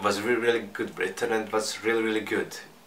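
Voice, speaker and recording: Heard with audible room echo and noticeable background noise, a man speaks with a non-native accent. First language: not English. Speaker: manga reviewer. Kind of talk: casual review monologue. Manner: halting, with repetitions and fillers.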